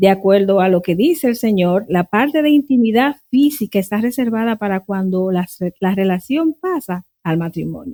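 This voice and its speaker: Intonation is lively from this woman, who has an unremarkable speaking voice at medium pitch. She goes at a moderate pace, and the sound is dry and close with no echo. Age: 60s. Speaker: Bible teacher. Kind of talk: interview. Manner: formal.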